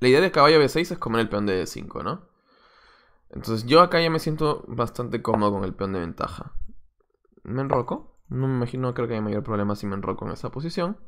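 The speech moves at a fairly quick pace with lively intonation and light background noise. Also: man, medium pitch for a man. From Peru, Lima. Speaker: chess coach and streamer. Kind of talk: live stream commentary while playing chess. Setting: live stream. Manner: casual, thinking aloud.

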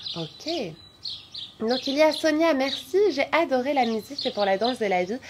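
A woman's lively intonation, with clear background noise behind it. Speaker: yoga teacher and physiotherapist; yoga teacher. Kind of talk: guided yoga class; reading out live chat comments. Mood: warm, cheerful. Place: garden. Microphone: phone near.

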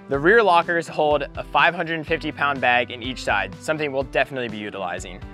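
The speaker is a man, and the sound is dry with no echo. Faint music plays behind him. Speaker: boat reviewer. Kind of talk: product walkthrough. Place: boat. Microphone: lapel.

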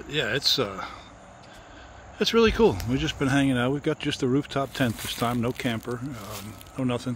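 A man speaks in a dry recording with no echo and noticeable background noise. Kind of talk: casual vlog chat. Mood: relaxed, leisurely. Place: open country. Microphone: phone near.

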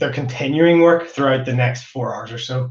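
In a room with audible echo but a quiet background, a somewhat breathy man speaks at a moderate pace with ordinary pitch variation. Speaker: host. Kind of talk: event opening remarks. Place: home room.

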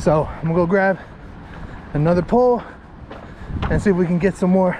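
Dry sound with no echo, plus noticeable background noise. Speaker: fishing vlogger. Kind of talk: casual vlog chat. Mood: happy, playful. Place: open country. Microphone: phone near.

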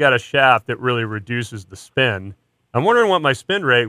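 A man is speaking with a quiet background. His pace is moderate. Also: dry sound with no echo. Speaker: radio show host. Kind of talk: casual radio chat. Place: studio.

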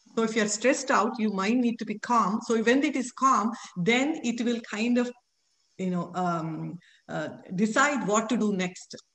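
A woman with a fairly high pitch and ordinary pitch variation talks in an unremarkable speaking voice. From Telangana, raised in Hyderabad, from a village; Telangana. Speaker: chemistry professor; guest. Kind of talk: interview. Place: home room. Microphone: video call.

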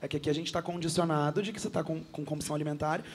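This man talks very fast. His speech rushes along at a very fast pace. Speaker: entrepreneur. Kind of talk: TV talk show panel discussion. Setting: TV studio.

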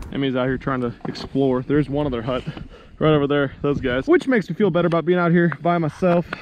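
A man speaks at a fairly quick pace with ordinary pitch variation. Light background noise is present. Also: dry sound with no echo. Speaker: fishing vlogger. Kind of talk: casual vlog chat. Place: open country. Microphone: phone near.

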